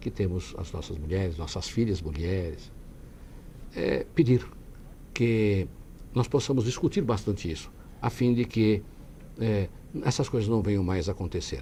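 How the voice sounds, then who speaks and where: With a fairly low pitch and a dark, mellow tone, a man speaks somewhat breathily at a fairly slow pace, his intonation lively and his speech broken by long, frequent pauses. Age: 60s. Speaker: city councillor and lawyer. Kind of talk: TV interview. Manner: halting.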